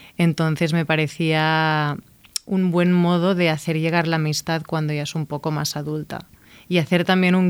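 A woman speaks at a fairly slow pace in a fairly low pitch, her intonation monotone and flat, on a very clean recording with a silent background. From Catalonia, Igualada. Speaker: novelist and screenwriter. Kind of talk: interview.

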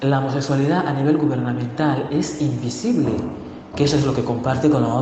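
A man talks at a fairly quick pace with very even loudness and fairly even intonation, over noticeable background noise and audible room echo. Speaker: LGBTI activist. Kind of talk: interview. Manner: halting.

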